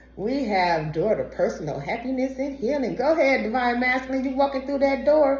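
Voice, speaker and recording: Over noticeable background noise, a woman talks at a fairly quick pace in a high pitch with an animated tone. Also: lively intonation. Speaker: tarot reader. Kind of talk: tarot reading.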